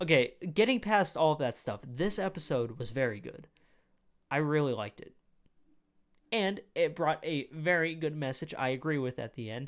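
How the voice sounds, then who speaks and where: A man speaks with an animated tone and lively intonation at a moderate pace. His loudness swings widely against a quiet background. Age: 20s. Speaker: youtube reaction creator. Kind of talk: casual reaction commentary. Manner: animated, rambling with fillers. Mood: opinionated, mildly irritated. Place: home room. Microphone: studio mic.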